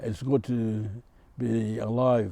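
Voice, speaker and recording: A man with a dark, mellow tone. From Torres Strait Islands, Australia. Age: 70s. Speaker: community elder. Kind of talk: health advice talk. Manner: halting, frequent uh fillers.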